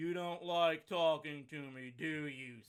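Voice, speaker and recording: Delivered at a fairly slow pace, the speech comes in a put-on character voice. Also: man, fairly high pitch for a man. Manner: desolate, gloomy.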